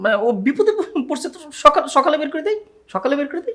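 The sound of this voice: In a put-on character voice with a bright, sharp tone, the speaker rushes along at a fast pace with big pitch swings. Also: man, extremely high pitch for a man.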